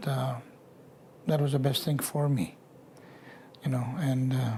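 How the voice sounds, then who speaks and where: A man with a medium pitch talks at a fairly slow pace, keeping his intonation fairly even. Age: 60s. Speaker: residential school survivor. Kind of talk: testimony. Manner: halting.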